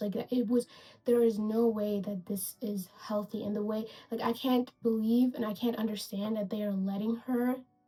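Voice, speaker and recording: Her pitch is fairly high as a woman talks. The speed is moderate. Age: 20s. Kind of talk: casual video essay rant to camera. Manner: casual, animated.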